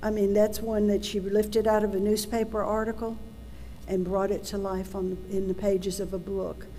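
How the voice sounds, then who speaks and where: In an audible room echo, a woman speaks at a moderate pace in a medium pitch, her intonation monotone and flat. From Tennessee. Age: 70s. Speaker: adoption search advocate and adoptee. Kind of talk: public talk.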